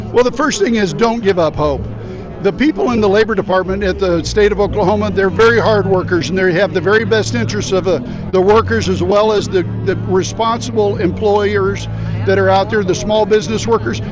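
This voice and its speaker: A man talks with a Midwestern American accent, his loudness very even throughout. Music plays in the background. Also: fairly quick pace. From Kansas. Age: 60s. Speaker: political candidate. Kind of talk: street interview.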